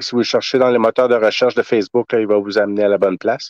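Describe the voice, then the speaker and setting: Over a quiet background, a man talks at a very fast pace and fairly low pitch with monotone, flat intonation, and the sound is dry and close with no echo. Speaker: soldier and collector event organizer. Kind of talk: interview.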